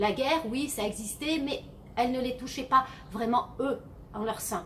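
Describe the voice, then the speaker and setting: Noticeable background noise sits behind this recording. A woman speaks with a high pitch, lively intonation and a moderate pace. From southern France (Arles, Camargue). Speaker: novelist. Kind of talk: casual Q&A vlog. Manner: hesitant, many fillers.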